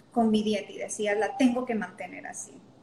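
The speaker is a woman. Noticeable background noise runs behind her. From Honduras (La Lima). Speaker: yoga teacher. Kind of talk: interview conversation.

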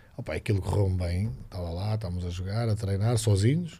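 A man talks at a very fast pace in a dark, mellow tone that is somewhat breathy. His pitch varies in an ordinary way. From Portugal, Figueira da Foz. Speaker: basketball coach. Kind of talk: casual chat.

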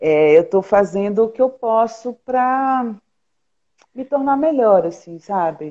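With a dark, mellow tone and lively intonation, a woman speaks fairly slowly at a fairly high pitch. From Pernambuco, Brazil. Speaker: journalist and filmmaker. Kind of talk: casual interview.

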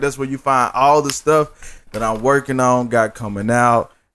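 A man with a normal speaking voice, medium pitch, and a moderate pace. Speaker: podcast host. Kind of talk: casual, slangy.

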